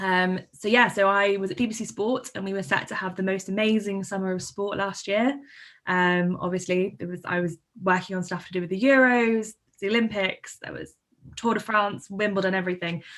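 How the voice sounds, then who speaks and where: The speaker has a southern English accent and a fairly quick pace with fairly even intonation. The recording is very clean, with a silent background. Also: woman, medium pitch for a woman. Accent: southern English, noticeable. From London and Surrey area. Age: 20s. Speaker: journalist and producer. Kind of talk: conference talk.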